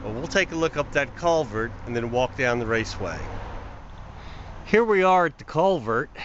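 With faint background noise behind him, a man speaks at a moderate pace and medium pitch, his intonation lively and his tone fairly bright.

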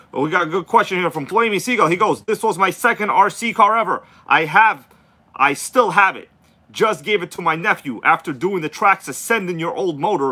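A man raises and projects his voice, which has a bright, sharp tone. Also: ordinary pitch variation, fairly quick pace. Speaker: RC hobby livestream host. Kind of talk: casual livestream chat reading comments. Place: home room. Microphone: phone near.

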